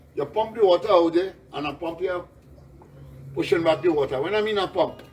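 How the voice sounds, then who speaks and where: A man with a Trinidadian accent talks at a fairly quick pace in a high pitch, with ordinary pitch variation. Noticeable background noise runs underneath. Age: 60s. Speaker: flood-affected resident. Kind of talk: on-the-spot interview. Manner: animated.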